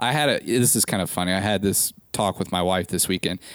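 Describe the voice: Low-pitched and with an American accent, a man speaks.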